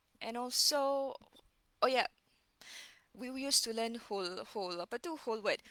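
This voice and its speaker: In a dry, close sound with no echo, a woman with a Malaysian accent speaks at a moderate pace in a high, lively voice, leaving long, frequent pauses. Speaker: reading educator. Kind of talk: casual live-stream lecture. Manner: code-switching with Malay fillers, halting.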